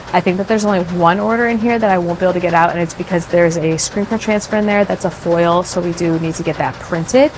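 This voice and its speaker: Over music in the background, a woman with a fairly low pitch talks at a very fast pace with hardly any pauses and ordinary pitch variation. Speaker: small business owner. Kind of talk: casual vlog talk to camera.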